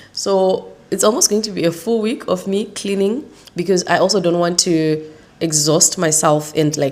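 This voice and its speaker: A woman is talking. There is noticeable background noise behind her. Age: 30s. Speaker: vlogger. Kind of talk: casual vlog talk.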